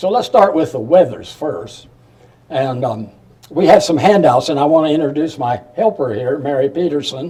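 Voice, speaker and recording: With a Midwestern US accent, a man speaks at a fairly high pitch with lively intonation. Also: moderate pace. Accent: US Midwest. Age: 90s. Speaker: retired professor, local historian. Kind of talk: public talk. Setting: museum talk with audience. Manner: halting.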